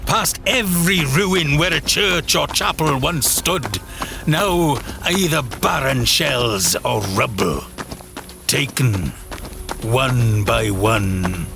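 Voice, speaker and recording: A man speaks at a very slow pace and a medium pitch, with long, frequent pauses and very wide pitch swings. His loudness stays very even over noticeable background noise. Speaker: voice actor. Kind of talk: horror story narration.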